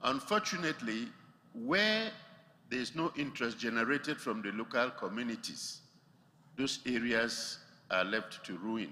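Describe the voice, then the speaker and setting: With a bright, sharp tone and medium pitch, a man talks at a moderate pace with ordinary pitch variation, taking long, frequent pauses amid audible room echo. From Nigeria. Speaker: audience member asking a question, retired park official. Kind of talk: audience question at a conference.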